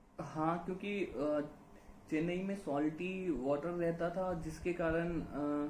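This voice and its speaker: A man's high-pitched voice with fairly even intonation, very even loudness and audible room echo. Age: 30s. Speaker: YouTuber sharing hair loss experience. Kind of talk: casual conversation. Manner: hesitant, many fillers.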